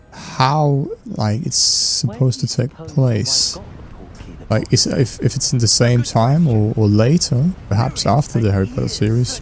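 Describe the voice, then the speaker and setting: With a Danish accent, a man speaks at a medium pitch and a fairly slow pace, with ordinary pitch variation, over noticeable background noise. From Denmark. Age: 20s. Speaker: gaming and fan-theory youtuber. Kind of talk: casual chat while gaming. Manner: hesitant, many fillers.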